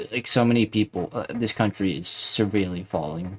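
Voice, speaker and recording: Soft-spoken, a man talks at a moderate pace with ordinary pitch variation. The recording is very clean with a silent background. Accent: American. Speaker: vlogger. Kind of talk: casual vlog monologue. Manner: halting.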